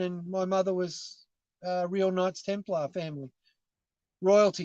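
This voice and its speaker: The pace is moderate. The background is quiet. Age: 50s. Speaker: caller. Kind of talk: casual chat. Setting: in a car.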